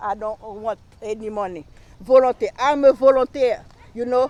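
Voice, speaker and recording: A woman's fairly high voice with a strong Haitian accent, fairly slow pace and ordinary pitch variation, in a dry, close sound with no echo. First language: Haitian Creole / French. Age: 60s. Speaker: local council candidate. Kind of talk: campaign speech. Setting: live stream rally. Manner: halting, many fillers.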